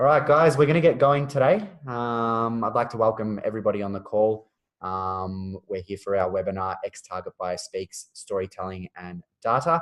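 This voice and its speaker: Speaking with an Australian accent at a medium pitch, a man keeps a moderate pace with hardly any pauses, lively intonation and big swings in loudness. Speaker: webinar host, marketing manager. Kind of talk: webinar introduction and interview. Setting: online webinar call.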